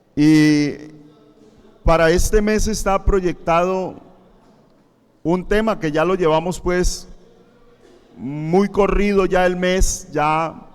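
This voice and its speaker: Audible room echo surrounds a voice at a very slow pace. The intonation stays fairly even, with long, frequent pauses. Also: man, high pitch for a man. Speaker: pastor. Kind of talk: sermon. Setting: church, livestreamed.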